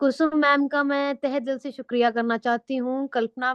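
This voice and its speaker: A woman's high-pitched voice holds a monotone, flat intonation. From Himachal Pradesh, India. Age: 20s. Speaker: veterinary pharmacist and product presenter. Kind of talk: product presentation.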